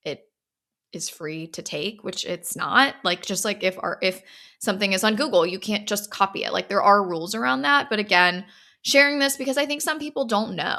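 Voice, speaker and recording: Very wide pitch swings from a woman with an American accent and a bright, sharp tone, in a very clean recording with a silent background. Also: medium pitch for a woman, moderate pace. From US South. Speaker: podcast host and gallery owner. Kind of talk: solo podcast monologue. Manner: casual, filler-heavy.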